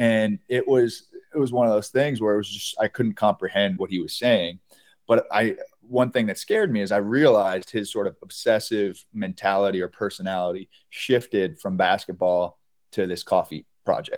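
A man with an American accent speaks in an unremarkable speaking voice, fairly low in pitch with ordinary pitch variation. His pace is moderate, and the sound is dry and close with no echo. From US Northeast, Kingston, New York. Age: 30s. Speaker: beverage company co-founder. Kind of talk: interview.

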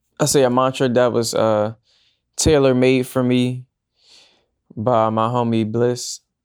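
This man speaks in a flat monotone at medium pitch and a fairly slow pace, with long, frequent pauses and very even loudness. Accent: American. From US, Northern Virginia (DMV area). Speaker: singer-songwriter and teacher. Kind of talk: casual interview.

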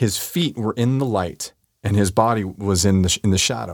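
In a very clean recording with a silent background, a man with an American accent and a normal speaking voice talks at a moderate pace, with a fairly low pitch and lively intonation. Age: 50s. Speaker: street photographer. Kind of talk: interview. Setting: studio.

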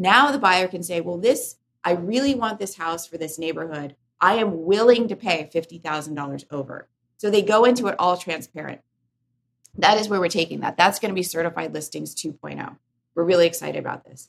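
A woman's normal speaking voice, fairly low in pitch, at a moderate pace with ordinary pitch variation and big swings in loudness. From born in Korea, raised in US. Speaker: real estate tech CEO. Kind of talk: podcast interview.

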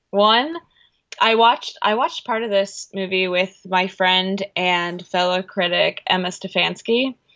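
A woman with an American accent speaks in a plain, everyday voice at a fairly slow pace. Her pitch is medium with ordinary variation, and her loudness is very even. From Chicago. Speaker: film critic and writer. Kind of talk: casual chat.

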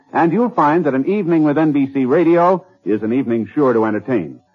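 Lively intonation lifts a normal speaking voice that runs at a fairly quick pace. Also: man. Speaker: radio announcer. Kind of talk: 1950s radio announcer reading network promos and sponsor commercials. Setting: vintage radio broadcast. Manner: formal, polished, brisk, upbeat, announcer cadence.

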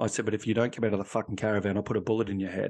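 A man speaks in a fairly low pitch with monotone, flat intonation. The background is quiet. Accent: Australian. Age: 50s. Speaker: ex-police officer, resilience consultant and author. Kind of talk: interview testimony.

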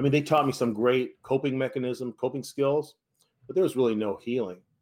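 Fairly quick speech in a man's normal speaking voice, pitched at a medium level and varying in an ordinary way. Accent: American. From US West Coast, San Francisco Bay Area. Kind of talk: interview testimony.

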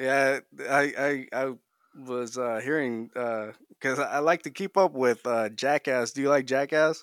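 An unremarkable speaking voice from a man at a medium pitch and a fairly slow pace, with fairly even intonation in a very clean recording with a silent background. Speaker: podcast host. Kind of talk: casual chat.

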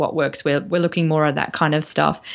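Over a quiet background, a woman speaks with an Australian accent. Her pitch is very deep and low, and her intonation is monotone and flat. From Brisbane, Australia. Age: 40s. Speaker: nutritional therapist and podcast host. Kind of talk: casual interview chat. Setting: remote call across time zones.

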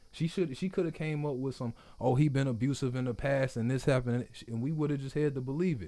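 At a very fast pace, a man speaks with an American accent. His medium-pitched voice is dark and mellow, with ordinary pitch variation. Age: 20s. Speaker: podcast host. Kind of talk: casual interview chat. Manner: animated, slangy.

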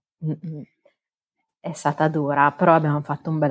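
The delivery is monotone and flat, and the sound is dry and close with no echo. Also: woman. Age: 30s. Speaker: foster mother, car insurance assessor. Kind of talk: interview testimony. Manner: hesitant, many fillers.

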